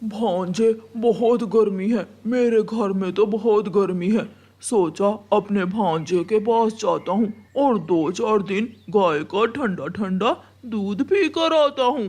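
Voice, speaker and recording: A man's high-pitched, cartoonish character voice. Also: fairly slow pace. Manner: sly, scheming.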